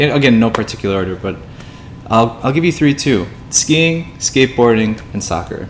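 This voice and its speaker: Noticeable noise is present in the background. Over it, a man talks with an American accent. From US Midwest, Illinois. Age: 20s. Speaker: podcast co-host. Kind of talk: casual chat. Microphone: poor audio quality.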